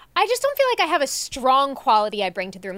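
A woman with an American accent speaks fairly quickly in a high pitch. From Long Island, New York. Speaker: podcast co-host. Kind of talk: casual chat.

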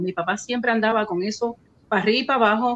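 A woman with a Puerto Rican accent speaks in a fairly high pitch, her intonation fairly even. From Puerto Rico (Río Piedras). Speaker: radio station owner and host. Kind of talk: casual interview.

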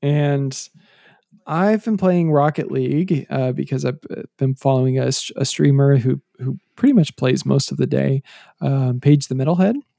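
Dark, mellow tone from a man with a fairly high pitch. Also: ordinary pitch variation, moderate pace, dry, close sound with no echo. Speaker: podcast co-host. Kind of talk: casual chat. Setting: remote call.

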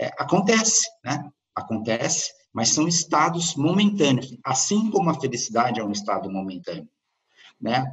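A man's fairly high voice with vocal fry and very wide pitch swings, at a moderate pace. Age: 50s. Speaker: startup consultant and author. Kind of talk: interview.

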